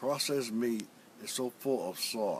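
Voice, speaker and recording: Here a man talks at a fairly slow pace. His pitch shows ordinary variation. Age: 60s. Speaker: stroke survivor. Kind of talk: testimony.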